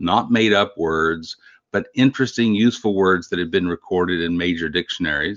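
This man speaks with a Texan accent at a moderate pace. His pitch variation is ordinary. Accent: Texan American. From Texas Panhandle. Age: 60s. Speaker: grammarian and book collector. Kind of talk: interview.

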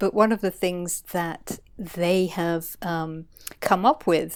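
A woman with a medium-pitched voice speaks at a very slow pace in a very clean recording with a silent background. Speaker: scientist and coach. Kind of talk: casual interview. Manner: calm, relaxed; hesitant with fillers.

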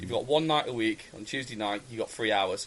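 A man speaks with an English accent. His pace is very fast. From England. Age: 30s. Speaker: tabletop wargaming podcaster. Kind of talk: casual chat.

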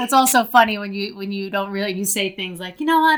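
On a very clean recording with a silent background, a woman speaks with an American accent. Her pitch is medium, with ordinary variation. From New Jersey, US. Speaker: memoir author. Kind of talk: interview, personal story.

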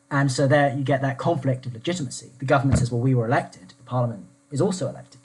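Somewhat breathy, a man talks at a very fast pace with a medium pitch and ordinary pitch variation. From southeast England. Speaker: former constitutional researcher. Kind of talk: panel discussion on politics.

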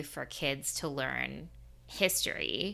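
A woman speaks in an animated tone with vocal fry. Her tone is bright and sharp. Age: 30s. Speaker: podcast host. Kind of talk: casual interview. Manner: animated, laughing.

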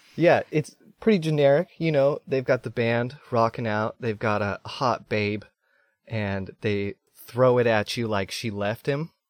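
This man has an ordinary speaking voice with ordinary pitch variation. He speaks at a fairly slow pace. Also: medium pitch for a man. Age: 30s. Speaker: podcast guest. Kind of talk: casual chat.

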